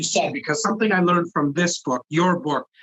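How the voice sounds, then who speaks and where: A man with a high-pitched voice. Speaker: podcast host. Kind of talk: podcast interview talk. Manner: energetic.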